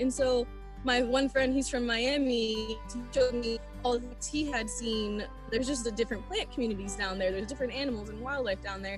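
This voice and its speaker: A woman talks at a very fast pace over clear background music, the sound dry with no echo. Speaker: guest. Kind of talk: interview answer. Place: forest. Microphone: video call.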